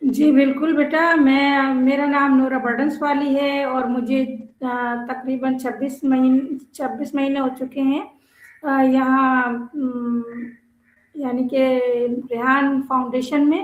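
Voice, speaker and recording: A woman's high-pitched voice stays monotone, with flat intonation. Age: 60s. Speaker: madrasa principal. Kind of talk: interview.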